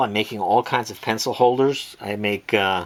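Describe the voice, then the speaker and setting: Using a plain, everyday voice, a man talks at a moderate pace and medium pitch with ordinary pitch variation. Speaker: watch and pencil holder maker, online seller. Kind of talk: tutorial. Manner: casual, filler-heavy.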